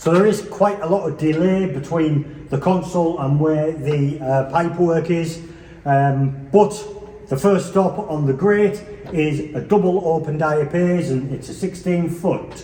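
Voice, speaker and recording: A high-pitched man with an English accent, relaxed in tone and fairly slow, with ordinary pitch variation, audible room echo and noticeable background noise. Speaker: organ enthusiast video presenter. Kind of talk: informal demonstration tour. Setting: church. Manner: relaxed, hesitant with fillers.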